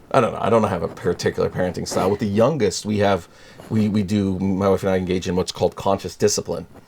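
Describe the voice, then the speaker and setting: Talking at a very fast pace, a man is heard with noticeable background noise. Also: fairly low pitch for a man. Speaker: prosecutor and rabbi. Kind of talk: casual interview chat. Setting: studio. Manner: animated.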